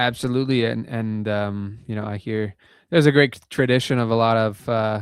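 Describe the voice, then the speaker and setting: The delivery has fairly even intonation at a moderate pace. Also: man, medium pitch for a man, very clean recording, silent background. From Canada, Calgary, Alberta. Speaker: blues musician. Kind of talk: interview. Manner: halting, many fillers.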